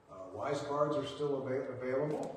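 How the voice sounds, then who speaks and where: Strong room echo and light background noise surround a man speaking at a fairly slow pace. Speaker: pastor or church leader. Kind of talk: church announcements. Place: church. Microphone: camera far.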